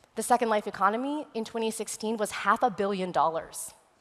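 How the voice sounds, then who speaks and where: Her pitch fairly high, a woman speaks with an American accent and ordinary pitch variation. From West Texas. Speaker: futurist and immersive technology consultant; conference speaker. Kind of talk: conference presentation. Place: stage. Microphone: headset.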